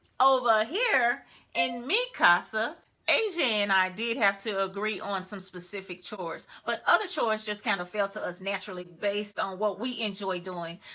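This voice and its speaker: A woman speaks loudly at a moderate pace, her medium-pitched voice carrying a bright, sharp tone. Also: ordinary pitch variation. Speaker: lifestyle YouTuber. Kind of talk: casual advice commentary.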